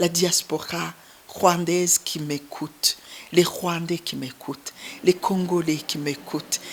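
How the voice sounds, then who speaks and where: Amid noticeable background noise, a woman speaks very slowly at a medium pitch. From Burundi, Ruyigi (east). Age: 60s. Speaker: humanitarian founder. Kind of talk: interview testimony.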